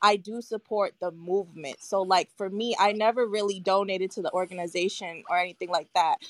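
Using an ordinary speaking voice, a woman of medium pitch talks at a fairly quick pace with hardly any pauses and fairly even intonation, recorded with a dry, close sound and no echo. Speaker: mental health counselor. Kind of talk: live audio room debate.

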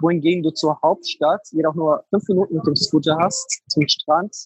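His intonation is fairly even. The man's pitch is high. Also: dry, close sound with no echo. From Germany, Frankfurt. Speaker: Airbnb entrepreneur. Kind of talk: interview. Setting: online call.

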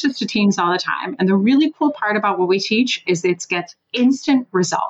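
At a moderate pace, a woman speaks with very wide pitch swings. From Switzerland. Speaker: sales trainer and former sales executive. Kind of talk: interview on a podcast. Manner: animated.

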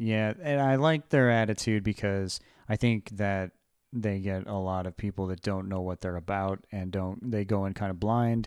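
On a very clean, dry and close recording with a silent background and no echo, a man with an unremarkable speaking voice talks at a moderate pace and a fairly low pitch with ordinary pitch variation. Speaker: podcast host. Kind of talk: casual chat.

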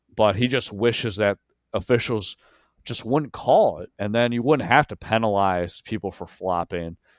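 With an American accent and an unremarkable speaking voice, a man talks at medium pitch with ordinary pitch variation, the sound dry and close with no echo on a very clean recording with a silent background. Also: moderate pace, big swings in loudness. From Pennsylvania (York). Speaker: sports reporter. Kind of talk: casual chat.

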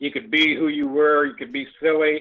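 This man has an ordinary speaking voice, pitched fairly high, and talks at a fairly quick pace. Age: 50s. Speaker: host's father. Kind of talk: casual chat.

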